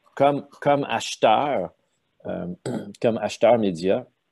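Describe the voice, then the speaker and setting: Pitched fairly low, a man's dark, mellow voice moves with ordinary pitch variation against a quiet background. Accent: Quebec. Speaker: sales consultant, former media sales executive. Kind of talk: casual interview.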